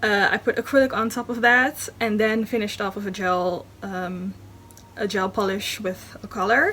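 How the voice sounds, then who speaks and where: Fairly high in pitch, a woman with a Dutch accent speaks at a moderate pace in a bright, sharp tone with ordinary pitch variation. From Netherlands. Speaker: beauty vlogger. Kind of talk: tutorial. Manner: halting, many fillers.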